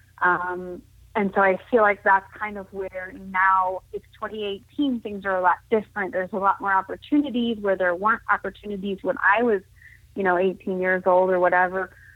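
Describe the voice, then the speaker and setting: A woman with an unremarkable speaking voice talks at a moderate pace and medium pitch with fairly even intonation. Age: 30s. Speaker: blind para judo athlete. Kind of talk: casual interview chat.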